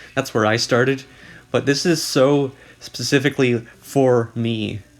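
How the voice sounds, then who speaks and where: A man at a fairly slow pace, medium in pitch, with fairly even intonation. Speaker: video essayist / commentary youtuber. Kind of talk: casual commentary narration. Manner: monotone.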